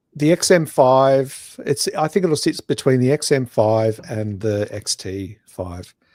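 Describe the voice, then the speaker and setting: In a very clean recording with a silent background and a dry, close sound with no echo, a man with a medium pitch and a dark, mellow tone speaks fairly slowly with lively intonation and hardly any pauses. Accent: Australian. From Australia. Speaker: photography podcast co-host. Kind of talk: casual chat.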